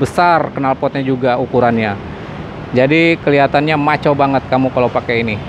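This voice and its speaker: Noticeable background noise sits behind a man talking at a fairly quick pace with fairly even intonation, the sound dry with no echo. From Indonesia. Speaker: motorcycle vlogger. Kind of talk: walkaround product review; product walkaround commentary. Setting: at a motorcycle dealership workshop. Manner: casual, filler-heavy. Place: shop. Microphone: phone near.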